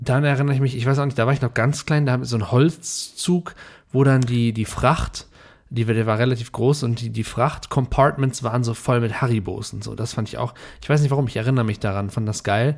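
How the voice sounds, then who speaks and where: An unremarkable speaking voice belongs to a man of medium pitch. He keeps a moderate pace and fairly even intonation. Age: 30s. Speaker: podcast host. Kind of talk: casual chat.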